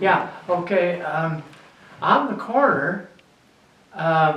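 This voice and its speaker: A man's fairly even intonation comes through noticeable background noise and audible room echo. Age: 80s+. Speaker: local historian, retired druggist. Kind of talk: interview, reminiscing. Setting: library reading room. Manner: halting.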